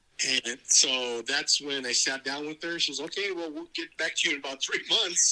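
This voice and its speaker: An American accent marks this man's fairly high voice, with ordinary pitch variation. He keeps a moderate pace with hardly any pauses, over noticeable background noise. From California, Gilroy. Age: 60s. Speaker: adoptee telling his story. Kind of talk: interview testimony.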